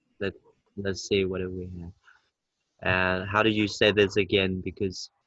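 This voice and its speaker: With a Vietnamese accent, a man speaks in a very deep, low pitch, monotone and flat, with big swings in loudness. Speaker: English tutor. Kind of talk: online English lesson. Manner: slow.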